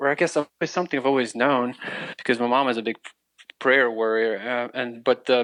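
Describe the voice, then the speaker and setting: With an American accent, a man speaks at a moderate pace and medium pitch with fairly even intonation and long, frequent pauses, in a dry, close sound with no echo. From Ukraine, then East Tennessee from age 12. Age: 30s. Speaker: refugee telling his faith story. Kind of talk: interview testimony. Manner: halting, many restarts.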